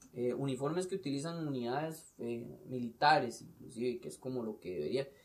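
A man speaks with a Costa Rican accent. His pace is moderate. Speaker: police officer. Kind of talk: casual chat.

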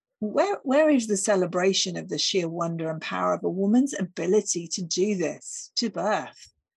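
A somewhat breathy woman's voice at medium pitch, with lively intonation, a moderate pace and hardly any pauses, over a quiet background. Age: 50s. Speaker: podcast host. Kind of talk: solo reflective monologue.

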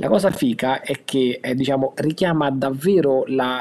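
This man has a normal speaking voice at medium pitch. His pitch variation is ordinary. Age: 40s. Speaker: board game collector. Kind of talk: casual chat. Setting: remote call.

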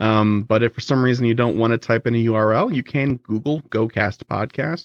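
Here is a man with a plain, everyday voice at a medium pitch. His pitch varies in an ordinary way. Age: 30s. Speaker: podcast host, guest. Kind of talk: casual interview chat. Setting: remote recording.

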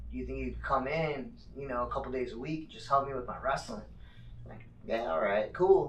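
A man with an American accent talks at a fairly quick pace, with long, frequent pauses and big swings in loudness, over noticeable background noise and audible room echo. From Phoenix, Arizona. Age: 30s. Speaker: mixed martial arts fighter. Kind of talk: casual chat.

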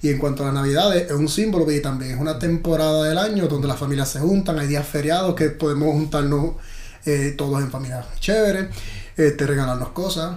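A man with a fairly high pitch and ordinary pitch variation talks at a fairly quick pace, with audible room echo. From Puerto Rico. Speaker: actor. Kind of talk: casual chat.

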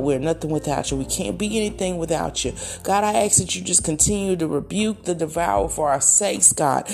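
A woman with a warm tone speaks at a fairly low pitch and a fairly quick pace. Her intonation is lively, and background noise is noticeable. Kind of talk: fervent prayer, spoken aloud as a heartfelt petition to God. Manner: earnest, preacherly cadence, warm and declarative.

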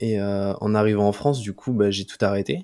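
At a moderate pace, a dark, mellow tone carries fairly even intonation on a very clean recording with a silent background. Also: man. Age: 20s. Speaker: YouTuber. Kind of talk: casual interview chat.

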